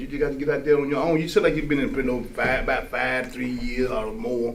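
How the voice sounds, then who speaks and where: The voice moves at a very fast pace with lively intonation, with noticeable background noise and audible room echo. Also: man. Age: 60s. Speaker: formerly incarcerated man. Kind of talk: testimony in a casual discussion. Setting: live-streamed studio discussion. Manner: halting, many repetitions.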